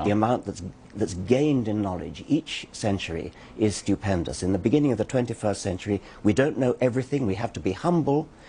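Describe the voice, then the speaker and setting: A man's dark, mellow, somewhat breathy voice, fairly low in pitch, with lively intonation at a very fast pace. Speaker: author and scientist. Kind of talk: TV interview answer. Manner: soft-spoken; gentle.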